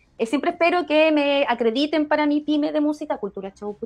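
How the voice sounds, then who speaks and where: This woman has a high voice, a Chilean accent and a lively, varied intonation. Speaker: podcast co-host. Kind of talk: casual chat.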